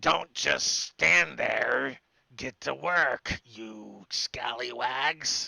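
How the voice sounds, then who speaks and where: Using a put-on character voice, a man speaks at a very slow pace. His tone is raspy and medium in pitch. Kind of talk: pirate-like insult. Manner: barking, bossy.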